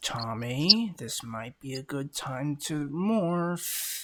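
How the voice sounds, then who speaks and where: Putting on a character voice, a man speaks very slowly at a fairly high pitch. His intonation is lively, and the recording is very clean with a silent background. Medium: actual play.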